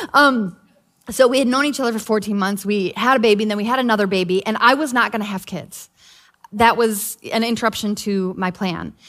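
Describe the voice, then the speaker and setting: Speaking at a fairly quick pace, a woman with a normal speaking voice has a fairly high pitch and ordinary pitch variation. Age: 40s. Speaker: pastor's wife and co-preacher. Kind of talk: sermon.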